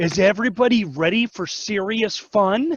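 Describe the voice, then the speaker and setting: A man puts on a character voice, pitched high and delivered at an even, moderate speed. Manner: nerdy, enthusiastic.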